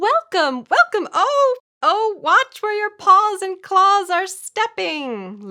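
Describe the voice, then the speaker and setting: A woman puts on a squeaky character voice at an extremely high pitch, raised and projected. She speaks at a very slow pace. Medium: read story. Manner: fussy, excitable.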